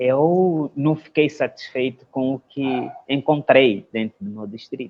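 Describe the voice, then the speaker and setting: A man with a Mozambican accent speaks at a very slow pace in a fairly high pitch, with ordinary pitch variation and big swings in loudness. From Mozambique, Nampula province (north). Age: 30s. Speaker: lawyer and social entrepreneur. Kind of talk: interview, life story. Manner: halting, many fillers.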